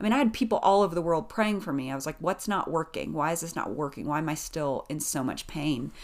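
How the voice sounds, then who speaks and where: With hardly any pauses, a woman with an American accent talks at a very fast pace, her fairly low voice carrying lively intonation over a very clean recording with a silent background. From US South, East Tennessee (Appalachia). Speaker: author and speaker. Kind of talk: interview conversation.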